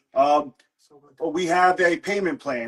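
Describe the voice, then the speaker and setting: A man with a high pitch and a New Jersey accent, at a moderate pace. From New Jersey, US East Coast. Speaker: comic book seller. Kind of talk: live sales stream. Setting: livestream with family and friends present.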